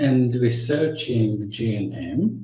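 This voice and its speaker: The man's voice is somewhat breathy, with a dark, mellow tone. Audible room echo surrounds it. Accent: Israeli. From Israel. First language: Hebrew. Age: 60s. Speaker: naturopath and health educator. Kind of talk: lecture. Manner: halting.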